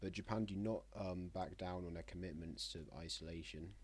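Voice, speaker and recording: A man speaks with vocal fry. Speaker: map game commentator. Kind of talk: casual gameplay narration. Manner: halting.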